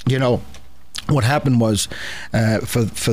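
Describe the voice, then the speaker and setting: There is noticeable background noise as a man talks with an American accent. His pitch is medium, with ordinary variation, and his pace is moderate. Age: 60s. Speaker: political talk show host and newspaper owner. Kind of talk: radio interview. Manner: halting, repeats words.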